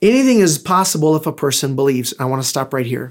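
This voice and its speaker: A man speaks in a fairly high pitch. His pitch variation is ordinary. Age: 50s. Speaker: pastor. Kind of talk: sermon. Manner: animated.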